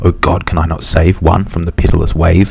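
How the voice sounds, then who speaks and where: Through noticeable background noise comes a man's very deep, low-pitched voice at a moderate pace. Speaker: ASMR creator. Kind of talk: whispered poem reading.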